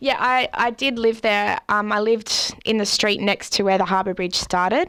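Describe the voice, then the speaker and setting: Speaking at a moderate pace with an Australian accent, a woman has fairly high pitch, ordinary pitch variation and very even loudness. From Australia, Central Coast NSW. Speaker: artist and traveller. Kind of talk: interview.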